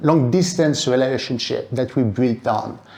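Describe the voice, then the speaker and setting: A man with a French accent talks at a moderate pace. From France. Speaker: speaker at event. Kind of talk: public talk.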